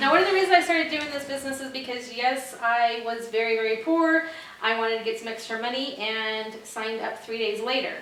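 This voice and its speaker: Audible room echo surrounds a woman's high pitch as she speaks in an animated tone with ordinary pitch variation. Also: fairly quick pace, big swings in loudness. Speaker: home party sales consultant. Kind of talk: sales pitch. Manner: fast.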